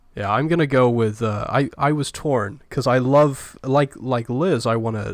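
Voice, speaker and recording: A man with a British accent and ordinary pitch variation, on a very clean recording with a silent background. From Britain. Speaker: film podcast co-host. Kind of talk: casual chat.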